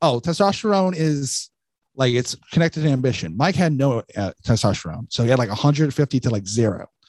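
An unremarkable speaking voice moves at a fairly quick pace with lively intonation. The sound is dry and close with no echo, over a quiet background. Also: man. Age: 20s. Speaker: stand-up comedian. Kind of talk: casual chat.

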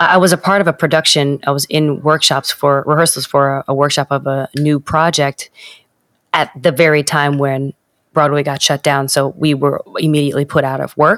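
A woman with a New York accent speaks in a very deep, low voice with flat, monotone intonation, recorded very cleanly against a silent background with a dry, close sound and no echo. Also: moderate pace. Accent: New York American. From New York, US. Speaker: Broadway performer. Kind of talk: casual interview chat.

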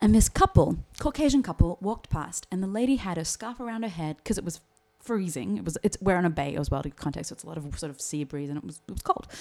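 Talking at a very fast pace with an Australian accent, a woman's fairly low voice swings very widely in pitch. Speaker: actor and playwright, speech coach. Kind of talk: casual chat. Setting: studio.

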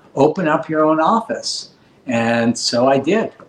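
A man speaks with a Californian accent. His intonation is lively. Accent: Californian American. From Los Angeles, California (Granada Hills). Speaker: cosmetic dentist. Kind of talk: interview.

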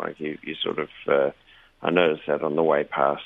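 A man speaks with an Australian accent. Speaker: regular radio contributor, shopkeeper. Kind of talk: casual chat. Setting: phone call from Sydney.

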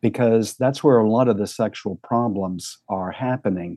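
A man's normal speaking voice at medium pitch with ordinary pitch variation. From US South, rural Tennessee. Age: 60s. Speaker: psychotherapist and sex therapist. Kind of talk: podcast interview.

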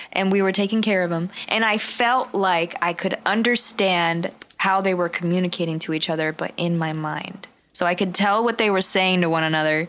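At a medium pitch and moderate pace, a woman speaks with very even loudness and fairly even intonation against noticeable background noise. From San Jose, California. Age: 20s. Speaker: podcast co-host. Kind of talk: casual chat.

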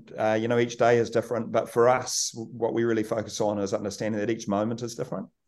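Talking at a very fast pace with hardly any pauses, a man speaks in a New Zealand accent. His medium pitch holds a monotone, flat intonation. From New Zealand, rural Kaikoura. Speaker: rugby team manager. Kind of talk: podcast interview.

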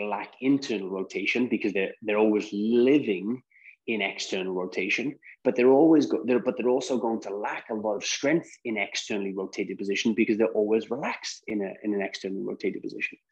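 The speaker has an ordinary speaking voice. The pace is fairly quick. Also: man. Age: 30s. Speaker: mobility specialist and Pilates teacher. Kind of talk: interview.

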